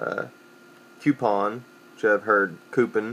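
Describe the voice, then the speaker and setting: The speaker has a Southern Appalachian accent. The delivery is very slow. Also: man. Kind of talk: casual dialect survey word list and answers. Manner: casual, hesitant.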